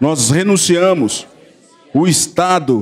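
A man talks with lively intonation. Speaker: church assistant leading prayer. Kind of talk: guided group prayer of renunciation. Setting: church. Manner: formal, steady, reading aloud. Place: church. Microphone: handheld.

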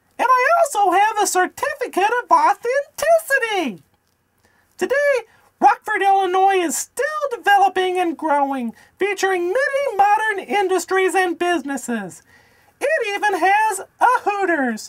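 At a moderate pace, someone performs a cartoonish character voice at an extremely high pitch. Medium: puppet. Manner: earnest, enthusiastic.

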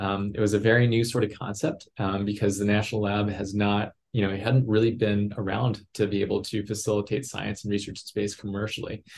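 A man with an American accent and a fairly low pitch, talking at a fairly quick pace over light background noise. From West Texas. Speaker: aerospace engineer and executive; guest. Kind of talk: interview. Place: home room. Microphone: video call.

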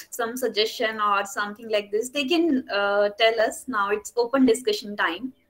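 A woman with an Indian accent at a moderate pace. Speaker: webinar moderator. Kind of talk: event moderation. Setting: video call. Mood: cheerful, warm. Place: home room.

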